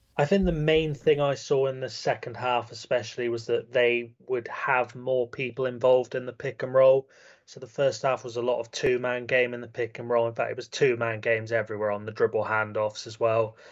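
Speaking with a British accent, a man keeps a medium pitch and fairly even intonation. His pace is fairly quick, with hardly any pauses. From UK. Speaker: basketball analyst. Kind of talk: casual chat.

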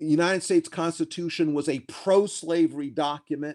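With an American accent, a man talks at a moderate pace in a high pitch, his pitch varying in an ordinary way. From US South, South Carolina. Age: 60s. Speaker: law professor and author. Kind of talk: interview. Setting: remote call from home.

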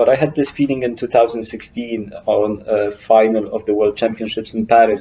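With a Polish accent, a man speaks at a moderate pace and medium pitch, using fairly even intonation and hardly any pauses. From Poland. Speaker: climbing route setter. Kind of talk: interview. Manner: halting.

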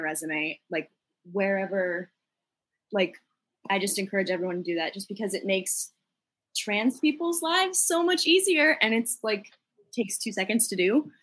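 A woman speaks at a moderate pace with a medium pitch and lively intonation. It's an ordinary speaking voice. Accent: American. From Boston, Massachusetts. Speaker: musical theater graduate. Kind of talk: casual chat. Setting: video call.

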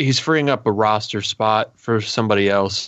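An ordinary speaking voice, a man talking at a fairly low pitch. He goes at a fairly slow pace with fairly even intonation. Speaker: podcast co-host, fantasy player. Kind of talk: casual sports podcast chat.

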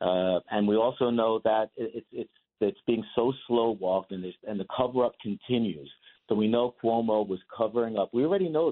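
With a plain, everyday voice, a man talks at a moderate pace, his medium pitch showing ordinary variation. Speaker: lawyer. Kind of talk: radio interview.

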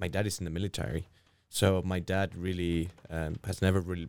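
A man with a Spanish accent speaks at a fairly quick pace in a very deep, low voice. The recording is very clean, with a silent background. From Spain. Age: 30s. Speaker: orchestra conductor. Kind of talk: interview.

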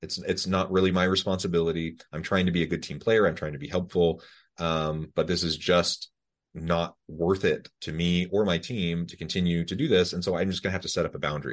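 In a quiet background, a man speaks fairly quickly with a very deep, low pitch. His intonation is fairly even. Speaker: podcast host. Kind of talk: interview conversation. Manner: warm, friendly.

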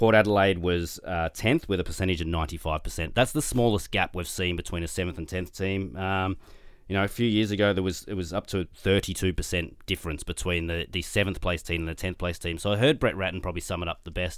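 A man's very deep, low voice at a very fast pace, with hardly any pauses, ordinary pitch variation, and a very clean recording with a silent background. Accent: Australian. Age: 40s. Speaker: sports statistician. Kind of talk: casual chat. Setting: studio.

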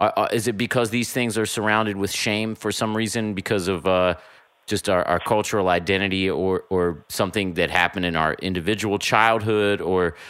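Fairly low in pitch, a man speaks at a moderate pace with a bright, sharp tone and fairly even intonation. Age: 30s. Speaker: podcast host. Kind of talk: casual chat. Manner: halting, many fillers and repeats.

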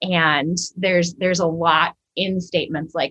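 An unremarkable speaking voice with an American accent, at a fairly slow pace, in a dry, close sound with no echo. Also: woman. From Minnesota. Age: 40s. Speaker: church ministry director and author. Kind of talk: podcast interview.

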